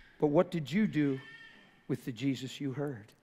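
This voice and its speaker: A fairly high-pitched man's voice, dark and mellow in tone, fairly slow, with ordinary pitch variation. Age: 50s. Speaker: preacher. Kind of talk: sermon. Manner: animated. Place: church.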